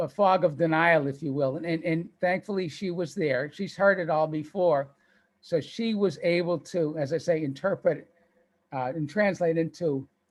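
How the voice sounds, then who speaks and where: With a slight Boston accent, a man speaks at a moderate pace. His pitch is fairly high and varies in an ordinary way. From Boston, US. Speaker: author and cancer survivor. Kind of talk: interview.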